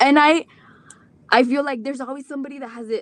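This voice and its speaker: Recorded dry and close with no echo, a woman talks at a fairly quick pace. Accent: Mexican. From Rio Grande Valley, Texas. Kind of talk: live stream talk. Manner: halting.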